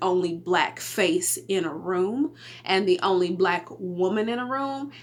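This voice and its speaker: Lively intonation marks this woman's voice with an American accent. Noticeable background noise runs underneath. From Texas. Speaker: podcast host. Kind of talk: casual solo podcast talk. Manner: casual, conversational with fillers.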